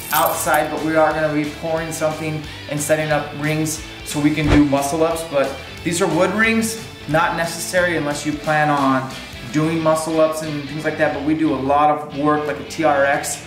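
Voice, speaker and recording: Over clear music in the background, a man speaks at a moderate pace with monotone, flat intonation. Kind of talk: casual equipment walkthrough. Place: garage.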